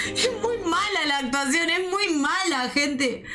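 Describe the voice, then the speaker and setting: A woman's raised, projected voice sits at an extremely high pitch, with lively intonation. She speaks at a fairly slow pace over light background noise. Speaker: streamer. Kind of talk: casual reaction commentary. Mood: amused, laughing. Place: home room.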